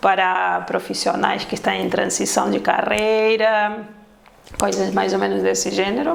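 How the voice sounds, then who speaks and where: A woman with a Spanish accent speaks at a fairly slow pace. The audio has audible room echo and noticeable background noise. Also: very even loudness. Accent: Spanish-sounding accent in Portuguese. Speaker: ISO consultant and auditor. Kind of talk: casual interview.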